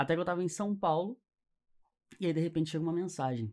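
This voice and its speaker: At a fairly quick pace, a man speaks. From Niterói, Rio de Janeiro, Brazil; Rio de Janeiro, Brazil. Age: 20s. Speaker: entrepreneur; podcast guest. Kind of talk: interview. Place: studio. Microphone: studio mic.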